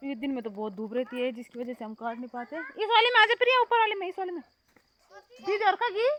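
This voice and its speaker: The loudness rises and falls sharply while the pitch swings very widely. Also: woman, extremely high pitch for a woman. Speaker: vlogger. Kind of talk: casual vlog narration. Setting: outdoors in fields.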